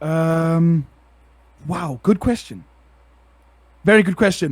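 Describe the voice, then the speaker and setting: Using a high pitch and ordinary pitch variation, a man speaks at a very slow pace. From South Africa. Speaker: part-time streamer. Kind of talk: casual chat. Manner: loud; animated.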